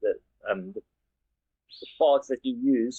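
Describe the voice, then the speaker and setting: A man is speaking. He has a South African accent. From South Africa, Western Cape farming community. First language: Afrikaans. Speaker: engineer. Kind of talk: interview. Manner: halting, with many repeated words.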